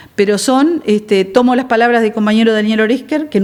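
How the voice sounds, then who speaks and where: A woman's fairly high voice with a Uruguayan accent, ordinary pitch variation and a fairly quick pace. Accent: Uruguayan Spanish (rioplatense). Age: 60s. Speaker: politician. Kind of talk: TV interview.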